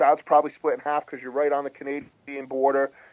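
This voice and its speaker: Speaking with an American accent, a man uses a fairly high pitch. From US Northeast (Rhode Island). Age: 40s. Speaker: hockey writer. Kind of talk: podcast interview.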